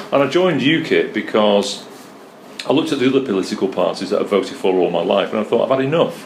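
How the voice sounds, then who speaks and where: Talking very fast with very even loudness, a man with a Mancunian accent is heard through audible room echo and noticeable background noise. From North Manchester, England. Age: 60s. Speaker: political candidate. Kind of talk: interview.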